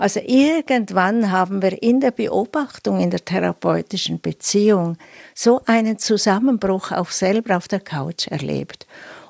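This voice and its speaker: Speaking fairly slowly, a woman uses lively intonation at a medium pitch, in an unremarkable speaking voice. The sound is dry and close, with no echo. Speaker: psychoanalyst. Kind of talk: interview excerpt.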